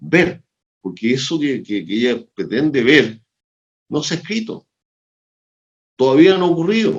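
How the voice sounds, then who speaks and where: Someone with a Chilean accent talks at a moderate pace with vocal fry and very wide pitch swings. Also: man. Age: 70s. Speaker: sociologist and organizational consultant. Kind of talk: interview conversation. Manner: animated.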